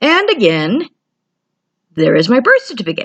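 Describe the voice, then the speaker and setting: The speaker is a woman. She talks fairly quickly. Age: 40s. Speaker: security guard. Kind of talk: video message to another YouTuber. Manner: hesitant, many fillers.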